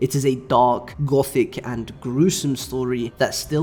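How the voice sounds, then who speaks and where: Somewhat breathy and medium in pitch, a man's voice moves at a fairly slow pace. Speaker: anime and manga YouTuber. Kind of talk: scripted review narration.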